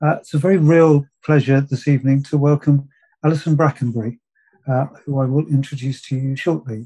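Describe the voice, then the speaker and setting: A man's fairly high, somewhat breathy voice with a dark, mellow tone, fairly even intonation and a fairly quick pace against a quiet background. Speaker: festival host. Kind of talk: formal introduction of a speaker. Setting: online video call. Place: home room. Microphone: video call.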